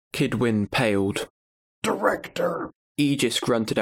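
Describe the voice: Plain reading aloud over a quiet background. The pitch variation is ordinary.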